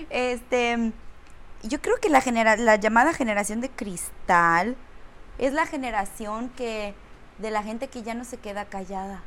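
Her voice is fairly high in pitch, with ordinary pitch variation. The woman speaks at a fairly slow pace, and her loudness swings widely. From Romania. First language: Romanian (speaking Spanish). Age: 30s. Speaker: actress. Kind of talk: casual chat.

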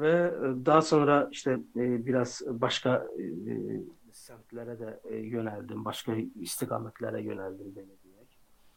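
A man's very slow delivery with hardly any pauses and big swings in loudness. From Azerbaijan. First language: Azerbaijani (speaking Turkish). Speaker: software developer. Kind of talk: interview.

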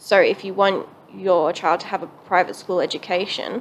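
Speaking fairly slowly, this woman has an Australian accent. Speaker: podcast co-host. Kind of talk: casual chat.

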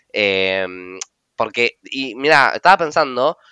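In a dry, close recording with no echo and a quiet background, a man speaks at a fairly slow pace in a bright, sharp tone with ordinary pitch variation. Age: 30s. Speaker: podcast host, tarot reader and teacher. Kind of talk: casual chat.

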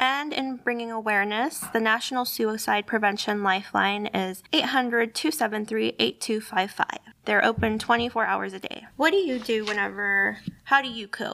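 A woman's fairly high voice at a moderate pace, ordinary pitch variation and noticeable background noise. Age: 20s. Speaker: library podcast host. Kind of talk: casual chat.

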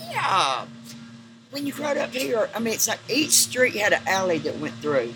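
Music plays behind a woman speaking at a moderate pace. Her pitch swings very widely. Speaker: neighborhood native interviewee. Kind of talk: casual chat, storytelling. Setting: outdoors, mill courtyard. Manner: talkative, laughing.

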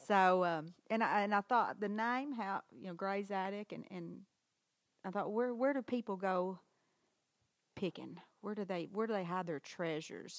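With a Southern US accent, a woman talks at a moderate pace and medium pitch, the sound dry and close with no echo. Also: ordinary pitch variation. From Arkansas, Harrisburg. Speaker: antique shop owner. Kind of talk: interview. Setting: in her shop.

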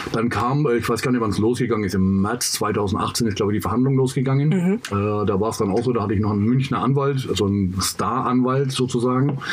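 A man speaks at a fairly quick pace with a medium pitch, ordinary pitch variation and very even loudness. Audible room echo and noticeable background noise are present. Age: 50s. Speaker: former prisoner, youth worker. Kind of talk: casual chat.

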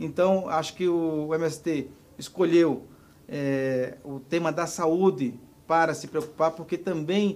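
A man with a fairly high pitch and ordinary pitch variation talks in a normal speaking voice. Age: 40s. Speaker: social movement leader. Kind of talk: interview.

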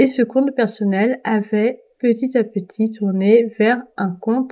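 Speaking at a very slow pace, a woman uses a fairly high pitch, fairly even intonation, and a dark, mellow tone. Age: 20s. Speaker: book podcaster. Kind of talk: casual monologue. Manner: hesitant, many fillers.

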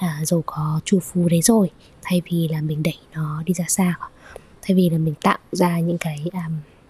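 Soft-spoken and fairly low in pitch, a woman talks at a fairly slow pace with fairly even intonation. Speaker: yoga teacher and podcast host. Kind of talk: solo podcast monologue.

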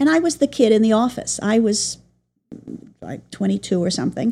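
A woman with an American accent, a plain, everyday voice, fairly high pitch, lively intonation and a moderate pace. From New York City. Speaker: Broadway press agent. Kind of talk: interview.

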